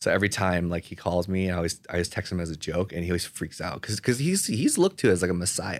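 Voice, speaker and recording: In a very clean recording with a silent background, a man with a very deep, low pitch and an American accent speaks at a very fast pace with hardly any pauses and fairly even intonation. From Southern California (Pasadena, LA area). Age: 30s. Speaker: meal prep company co-founder. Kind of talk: casual interview.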